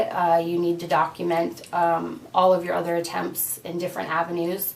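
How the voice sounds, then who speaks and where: A woman with an ordinary speaking voice talks at a moderate pace in a fairly low pitch. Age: 30s. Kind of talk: casual talk to camera.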